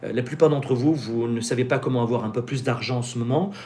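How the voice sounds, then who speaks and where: A man at a medium pitch talks at a fairly quick pace, noticeable background noise behind him. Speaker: business coach and YouTuber. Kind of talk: live-stream Q&A with sales pitch. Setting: live stream. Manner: fast; animated.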